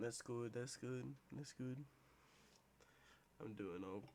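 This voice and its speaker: A man's medium-pitched voice, dark and mellow in tone. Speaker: podcast host. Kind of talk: casual chat.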